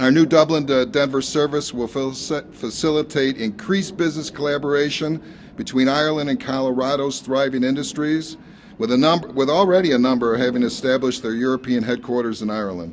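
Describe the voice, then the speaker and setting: At a fairly quick pace, a man with an American accent speaks in a plain, everyday voice, his medium pitch varying in an ordinary way. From United States. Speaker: airline executive. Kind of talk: prepared speech at press event.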